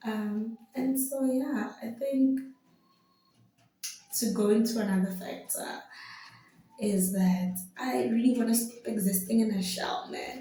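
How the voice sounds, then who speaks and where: A woman's fairly high voice at a fairly slow pace, with long, frequent pauses, ordinary pitch variation and audible room echo. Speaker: vlogger. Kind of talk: casual vlog monologue. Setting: home video, pretend mic. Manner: loud, bubbly.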